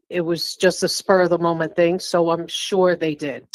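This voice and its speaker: A woman with a New York accent speaks at a fairly low pitch. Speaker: reading recipient. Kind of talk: live psychic reading.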